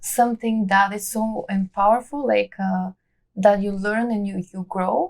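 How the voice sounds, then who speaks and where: Here a woman speaks at a medium pitch. She talks with a Bulgarian accent. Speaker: immigrant artist and belly dancer. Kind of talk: interview. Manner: halting, many fillers.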